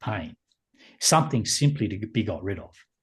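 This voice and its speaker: A somewhat breathy man at medium pitch, moderate pace and ordinary pitch variation, over a quiet background. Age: 60s. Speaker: meditation teacher. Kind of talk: podcast interview. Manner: halting.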